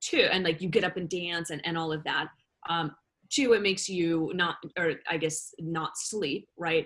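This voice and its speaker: In a normal speaking voice, the speaker goes at a moderate pace with ordinary pitch variation. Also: woman. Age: 30s. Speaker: wellness expert. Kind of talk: casual chat.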